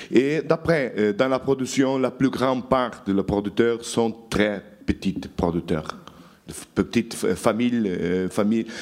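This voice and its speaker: A man's medium-pitched voice with ordinary pitch variation, at a very slow pace. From Portugal, Douro valley. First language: Portuguese (speaking French). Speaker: journalist. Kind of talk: lecture.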